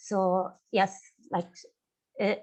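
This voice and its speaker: A woman with an Arabic accent. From Syria. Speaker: artist. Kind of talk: panel discussion. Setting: webinar. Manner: halting, many fillers.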